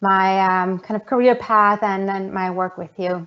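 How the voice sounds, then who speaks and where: A woman speaks at a medium pitch. She talks with a German accent. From Germany, Munich. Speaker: geoscience professor. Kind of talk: online presentation.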